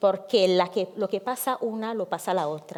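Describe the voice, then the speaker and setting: A woman's dark, mellow voice at medium pitch, fairly slow in pace, with ordinary pitch variation. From Africa. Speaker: activist, founder of migrant women's association. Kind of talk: panel talk.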